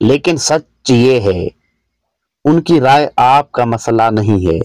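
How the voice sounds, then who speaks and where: The recording is very clean, with a silent background and a dry, close sound with no echo. A man speaks at a medium pitch with ordinary pitch variation. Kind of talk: motivational speech.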